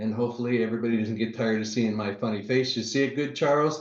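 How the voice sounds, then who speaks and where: This is a normal speaking voice, its intonation fairly even. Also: man. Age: 50s. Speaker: real estate investor. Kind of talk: presentation.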